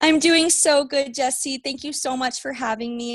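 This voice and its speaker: An ordinary speaking voice from a woman with an American accent and lively intonation. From Las Vegas, Nevada, US. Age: 20s. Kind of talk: podcast interview.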